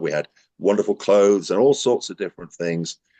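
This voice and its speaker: A man talking at a very fast pace, the sound dry and close with no echo. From northern England, Newcastle. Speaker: recovery centre admissions worker, ex-resident. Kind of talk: interview testimony. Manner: loud, animated.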